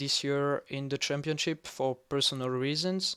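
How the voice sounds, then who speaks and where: A man with a non-native accent speaks at a fairly high pitch with fairly even intonation. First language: not English. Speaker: sim racing analyst YouTuber. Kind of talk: tutorial-style race preview. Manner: halting with fillers.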